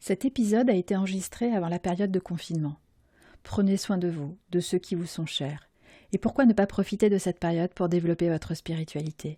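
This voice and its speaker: A woman speaks at a fairly low pitch with ordinary pitch variation, in a somewhat breathy, dark, mellow tone with long, frequent pauses. The recording is very clean, dry and close, with no echo and a silent background. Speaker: podcast host. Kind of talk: podcast intro read.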